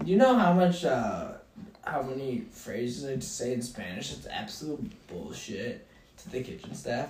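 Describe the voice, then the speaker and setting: Over noticeable background noise and audible room echo, a man with a fairly high pitch speaks at a moderate pace with very wide pitch swings and big swings in loudness. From Filipino heritage. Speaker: podcast co-host. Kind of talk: casual chat.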